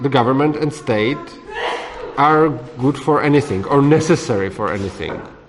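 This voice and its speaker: Through noticeable background noise, a man with a Czech accent speaks fairly slowly at a fairly high pitch, with lively intonation. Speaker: libertarian author leading a discussion course. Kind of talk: group discussion. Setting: room with small audience, recorded. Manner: halting.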